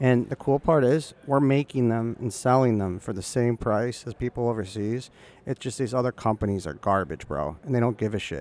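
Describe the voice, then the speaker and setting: A man's medium-pitched voice with ordinary pitch variation, a moderate pace, hardly any pauses and a dry, close sound with no echo. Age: 30s. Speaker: inventor and hunting product business owner. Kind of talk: casual interview chat. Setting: trade show booth. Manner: hesitant, many fillers.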